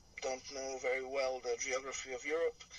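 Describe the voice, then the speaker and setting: Noticeable background noise sits behind a man who speaks at a medium pitch with monotone, flat intonation. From Serbia. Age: 50s. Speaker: tour guide. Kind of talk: interview.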